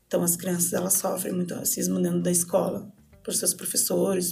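This woman talks with fairly even intonation, a medium pitch, and a moderate pace. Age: 30s. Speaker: education specialist. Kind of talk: podcast interview. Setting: studio.

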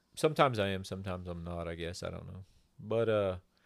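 Recorded very cleanly against a silent background, a man with an American accent talks with ordinary pitch variation. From Oklahoma, raised partly in Texas. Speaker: cowboy and silversmith. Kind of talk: casual chat.

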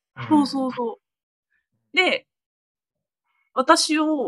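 A woman speaks in a dry, close recording with no echo. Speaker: guest, university friend of host. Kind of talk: casual chat. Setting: online call.

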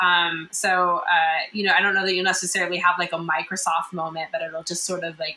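With noticeable background noise behind her, a woman with an American accent talks at a fairly quick pace in a fairly low pitch. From rural US. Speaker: tech startup founder. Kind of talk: interview.

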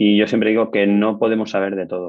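A man with a fairly low pitch delivers his words at a very fast pace. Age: 40s. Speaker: building engineer and construction manager. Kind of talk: casual interview.

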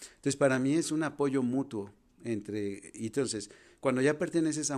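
In a Jalisco accent, the voice moves at a moderate pace with ordinary pitch variation on a very clean recording with a silent background. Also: man. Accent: Mexican (western, Jalisco). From Mexico, Guadalajara. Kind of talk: podcast interview, explaining.

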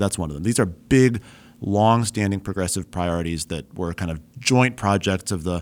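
A man with an American accent speaks at a fairly quick pace in a normal speaking voice with ordinary pitch variation. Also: very clean recording, silent background. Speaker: podcast co-host, former state senator. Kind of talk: casual political discussion. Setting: studio.

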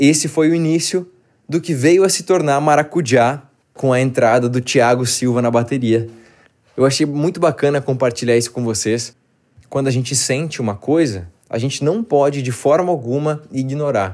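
With a normal speaking voice and ordinary pitch variation, a man talks at a fairly high pitch. His pace stays moderate. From southern Brazil, Porto Alegre. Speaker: band singer. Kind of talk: personal storytelling monologue.

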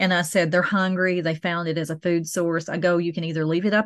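Fairly low in pitch and fairly even in intonation, a woman speaks against a quiet background. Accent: Southern US. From US South. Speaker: hobbyist beekeeper, podcast co-host. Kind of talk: casual chat.

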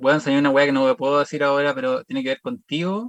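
A man's fairly high voice with ordinary pitch variation, in a Chilean accent, at a very fast pace. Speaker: comedian. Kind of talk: casual chat.

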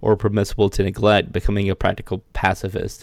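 In an American accent, a man with an unremarkable speaking voice talks at a fairly quick pace and fairly low pitch, on a very clean recording with a silent background and a dry, close sound with no echo. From US South, South Carolina. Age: 30s. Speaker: podcast co-host. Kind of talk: casual chat.

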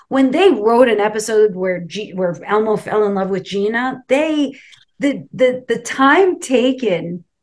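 A woman's fairly high voice with lively intonation, an American accent and an unremarkable speaking voice. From New York City (Brooklyn). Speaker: actress. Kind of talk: interview.

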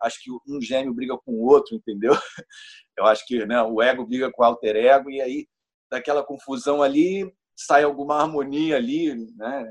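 Against a quiet background, a man of medium pitch talks at a moderate pace, with ordinary pitch variation and big swings in loudness. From Niterói, Rio de Janeiro, Brazil. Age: 40s. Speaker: guest on astrology podcast. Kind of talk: casual chat. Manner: halting, repeats words.

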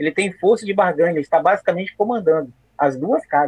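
Delivered at a moderate pace, the speech has lively intonation and a dry, close sound with no echo. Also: man. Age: 40s. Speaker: history teacher. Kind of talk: casual chat.

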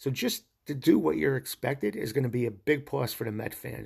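A man with an American accent speaks at a moderate pace, his lively intonation marked by vocal fry. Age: 60s. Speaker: sports podcast host. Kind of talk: solo podcast monologue. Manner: enthusiastic.

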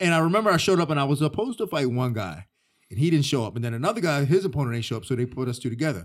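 Someone talks at a very fast pace with an American accent. The pitch swings very widely. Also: man, fairly high pitch for a man, very clean recording, silent background. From Delaware, later Florida. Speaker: mixed martial arts fighter and coach. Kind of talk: casual interview. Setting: studio on gym mats.

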